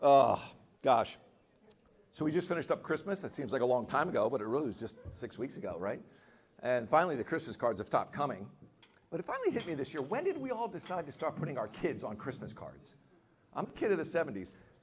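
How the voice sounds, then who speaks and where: A man at a fairly high pitch, very fast pace and very wide pitch swings, broken by long, frequent pauses amid noticeable background noise. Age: 60s. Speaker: comedian. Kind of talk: stand-up.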